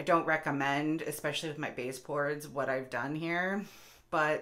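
Against a quiet background, a woman talks in a very deep, low pitch with ordinary pitch variation. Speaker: home vlogger. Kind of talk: casual vlog chat. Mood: self-deprecating, candid. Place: bathroom. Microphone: phone near.

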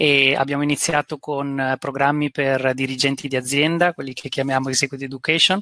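A man's fairly high-pitched voice with a bright, sharp tone moves at a fairly quick pace with fairly even intonation, in a dry sound with no echo and a quiet background. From Italy. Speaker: business school executive; guest. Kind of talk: presentation. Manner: halting, many fillers. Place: home room. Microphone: headset.

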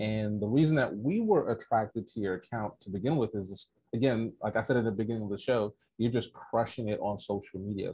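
A man speaks at a fairly quick pace in a medium pitch, his dark, mellow tone somewhat breathy, the sound dry with no echo against a quiet background. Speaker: podcast host. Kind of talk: interview. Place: home room. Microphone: earbuds.

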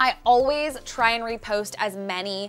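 The woman speaks with lively intonation. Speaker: interior design vlogger. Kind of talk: tutorial-style vlog talk to camera. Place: studio.

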